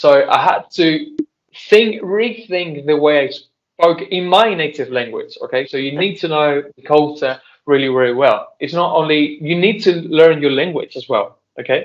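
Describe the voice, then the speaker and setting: A man with a Spanish accent and a fairly high pitch, speaking at a fairly slow pace with ordinary pitch variation. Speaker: translator and interpreter. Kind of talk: Q&A discussion with students. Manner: halting.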